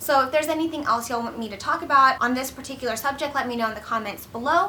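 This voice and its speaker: A woman's raised, projected voice, high-pitched and very fast, over noticeable background noise. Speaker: accountant and career vlogger. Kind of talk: advice vlog. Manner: casual, filler-heavy.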